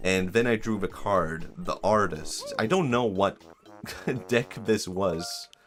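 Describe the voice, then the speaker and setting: A man's fairly low voice with ordinary pitch variation, very slow, over music in the background. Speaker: vtuber streamer. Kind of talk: casual livestream talk.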